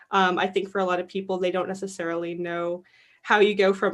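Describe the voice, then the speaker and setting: Speaking at a very fast pace, a woman talks at a medium pitch. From Canada. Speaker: film festival programmer. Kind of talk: live Q&A moderation.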